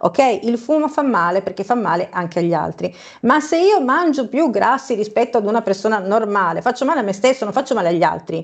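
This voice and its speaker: A woman's fairly high voice at a fairly quick pace, with very wide pitch swings against a quiet background. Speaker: co-host commentator. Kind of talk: news commentary. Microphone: video call.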